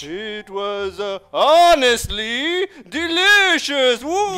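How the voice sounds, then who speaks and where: In a cartoonish character voice, a man talks at a very slow pace with an extremely high pitch. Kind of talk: comic overacting. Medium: puppet show. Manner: goofy, playful, mock-spooky.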